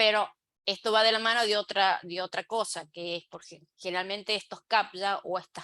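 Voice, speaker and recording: A woman's medium pitch in a bright, sharp tone, ordinary pitch variation and a moderate pace, dry and close with no echo. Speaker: web accessibility expert, speaker. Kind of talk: online talk / lecture. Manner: halting, many fillers.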